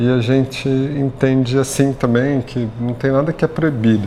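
Male speaker at a fairly slow pace, with noticeable background noise. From São Paulo, Brazil (north zone, northeastern family). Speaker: chef. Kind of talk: interview. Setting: restaurant.

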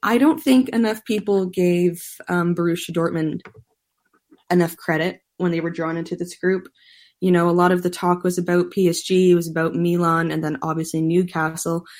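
A woman with a plain, everyday voice speaks at a moderate pace and a fairly low pitch. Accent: Canadian. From Canada. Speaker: soccer journalist. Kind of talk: casual chat.

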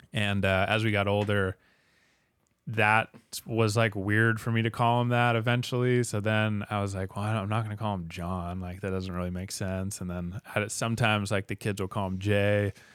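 Fairly quick, monotone speech with flat intonation on a very clean recording with a silent background. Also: man, fairly low pitch for a man. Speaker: podcast host. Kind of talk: interview.

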